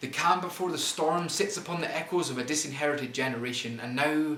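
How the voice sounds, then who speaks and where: Someone talks with a Scottish accent and ordinary pitch variation over noticeable background noise. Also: man. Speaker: poet. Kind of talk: spoken word poetry performance.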